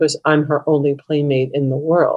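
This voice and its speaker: A woman speaks at a very deep, low pitch with fairly even intonation. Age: 60s. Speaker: hospital chaplain and caregiver. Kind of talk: interview conversation.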